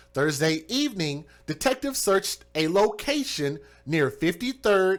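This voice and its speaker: On a very clean recording with a silent background, a man with a Southern US accent talks at a high pitch with lively intonation. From US South. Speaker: true crime livestream host. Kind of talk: live stream commentary.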